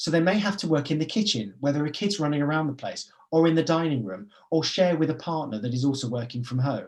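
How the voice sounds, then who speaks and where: A man rattles along at a very fast pace, with fairly high pitch and lively intonation. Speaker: business forum managing director. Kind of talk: webinar presentation. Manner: animated.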